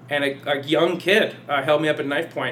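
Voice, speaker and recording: Speaking fairly quickly with fairly even intonation, a man with a fairly high voice is heard over noticeable background noise. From US West Coast, San Jose area, California. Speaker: stage actor. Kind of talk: casual chat. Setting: studio.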